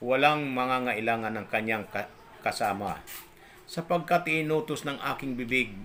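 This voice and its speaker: A man speaks with ordinary pitch variation. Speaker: religious vlogger. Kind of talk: religious talk. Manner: halting.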